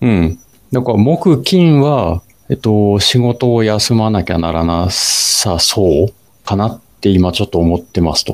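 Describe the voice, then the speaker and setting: A man's normal speaking voice, fairly slow, with lively intonation. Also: fairly low pitch for a man. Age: 40s. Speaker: amateur runner podcast co-host. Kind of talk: casual chat; scripted narration.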